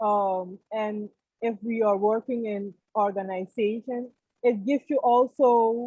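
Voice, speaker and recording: A woman's fairly high voice with a dark, mellow tone, very slow and fairly even in intonation, the sound dry and close with no echo. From Suriname. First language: Dutch. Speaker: course participant. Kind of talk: testimony. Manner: halting.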